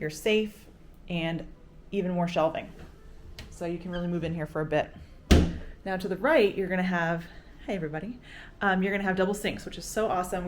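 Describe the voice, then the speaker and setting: A woman's medium-pitched, animated, very fast delivery with ordinary pitch variation and audible room echo. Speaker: travel vlogger. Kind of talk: room tour vlog. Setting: hotel room.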